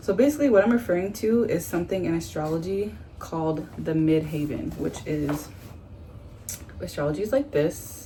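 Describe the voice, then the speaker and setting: A woman speaks in an ordinary speaking voice at a moderate pace, her pitch fairly low with ordinary variation. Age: 20s. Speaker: astrology enthusiast. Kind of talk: casual talk to camera.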